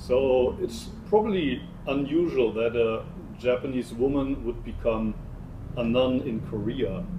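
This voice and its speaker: Amid noticeable background noise and audible room echo, a man talks at a fairly slow pace with a medium pitch and ordinary pitch variation. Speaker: Zen monk. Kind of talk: interview conversation. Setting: temple in Seoul.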